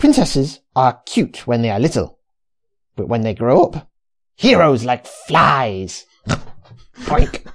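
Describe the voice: The speaker uses a put-on character voice at a low-to-middle pitch. The pace is fairly slow, with long, frequent pauses.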